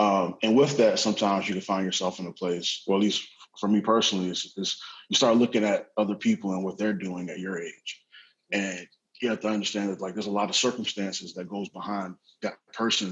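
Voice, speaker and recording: A man with a normal speaking voice and fairly low pitch talks at a fairly quick pace with fairly even intonation. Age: 20s. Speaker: tech startup professional. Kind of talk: panel discussion.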